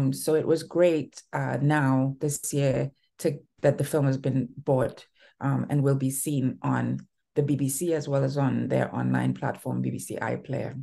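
Over a quiet background, a woman with a very deep, low pitch, vocal fry and a dark, mellow tone talks at a fairly slow pace. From Trinidad and Tobago. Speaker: filmmaker. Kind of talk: interview. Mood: relaxed, reflective. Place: home room. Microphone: video call.

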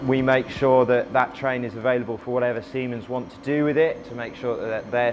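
Over noticeable background noise, a man speaks at a fairly quick pace in a monotone, flat intonation. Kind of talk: interview answer. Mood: calm, explanatory. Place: station.

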